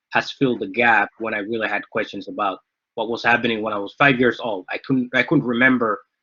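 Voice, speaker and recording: A man speaks at a medium pitch with a Somali accent. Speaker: author. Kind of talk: book discussion talk. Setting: live online event. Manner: halting, many fillers.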